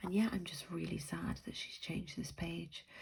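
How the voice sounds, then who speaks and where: A woman's fairly quick speech with vocal fry. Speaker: planner sticker youtuber. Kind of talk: casual haul video. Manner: hesitant, many ums.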